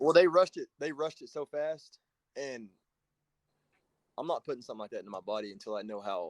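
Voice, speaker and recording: A man talking at a fairly quick pace, with long, frequent pauses and big swings in loudness. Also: dry, close sound with no echo. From Oklahoma. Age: 30s. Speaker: conservative commentator. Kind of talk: casual debate.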